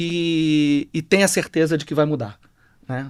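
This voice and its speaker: A man with a Rio de Janeiro accent speaks at a fairly slow pace, his pitch fairly high. The recording is very clean, with a silent background. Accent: carioca. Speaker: HR executive. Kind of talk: panel discussion.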